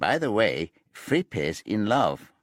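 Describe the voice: A man's put-on, nasal character voice, fairly low in pitch, with very wide pitch swings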